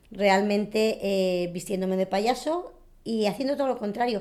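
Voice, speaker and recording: A plain, everyday voice with ordinary pitch variation, on a very clean recording against a silent background. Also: woman. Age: 40s. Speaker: circus clown. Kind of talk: documentary interview.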